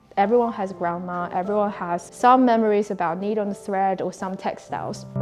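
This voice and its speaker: A woman with a Chinese accent at medium pitch, fairly even in intonation and moderate in pace, with music in the background. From China, Dali (Yunnan). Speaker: indigo textile craft teacher. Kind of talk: interview answer.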